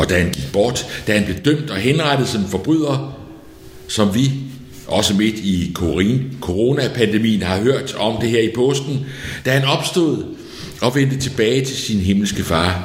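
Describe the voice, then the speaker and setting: There is noticeable background noise and audible room echo around this man. He talks very slowly at medium pitch with lively intonation. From Denmark, outside Copenhagen. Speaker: pastor. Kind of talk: sermon.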